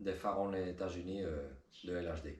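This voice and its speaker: A man with a Spanish accent talks at a very slow pace, with audible room echo. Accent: rusty French, thinks in Spanish. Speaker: car hobbyist youtuber. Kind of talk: tutorial. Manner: halting, many hesitations.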